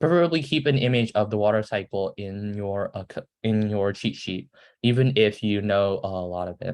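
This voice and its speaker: A man's fairly low, ordinary speaking voice at a moderate pace, with ordinary pitch variation and a quiet background. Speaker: student presenter teaching science. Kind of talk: lecture. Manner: casual, filler-heavy.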